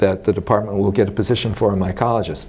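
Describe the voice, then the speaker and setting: A man with an American accent talks at a fairly low pitch and fairly even intonation in audible room echo. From US West, Los Angeles. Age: 60s. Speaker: retired mycology professor. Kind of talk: oral history interview. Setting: scientific conference. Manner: conversational, with many fillers.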